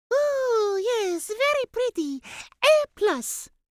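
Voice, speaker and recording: A woman's squeaky, put-on character voice at an extremely high pitch and a very slow pace. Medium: read story. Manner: slow, drowsy, repeats "yes".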